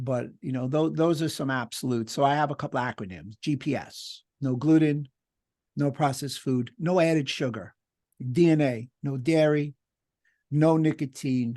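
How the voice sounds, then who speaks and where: Pitch varies in an ordinary way over a dark, mellow tone. No echo at all, just a dry, close sound. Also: man, fairly high pitch for a man, moderate pace, quiet background. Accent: New York. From New York. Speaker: doctor and lecturer. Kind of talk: webinar Q&A discussion.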